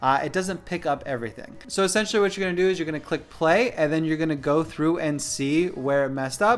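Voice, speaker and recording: Using ordinary pitch variation, a man with a fairly high voice talks at a very fast pace with hardly any pauses. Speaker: photography YouTuber. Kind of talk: tutorial. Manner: casual, many fillers. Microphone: studio mic.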